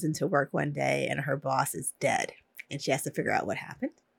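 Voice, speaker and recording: Speaking at a fairly quick pace, a woman with an American accent shows vocal fry, and the sound is dry and close with no echo. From New Jersey, Morris County. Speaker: author. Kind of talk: casual chat. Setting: video call.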